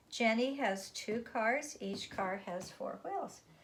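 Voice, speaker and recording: The woman's voice comes across somewhat breathy. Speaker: elementary school teacher. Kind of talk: tutorial.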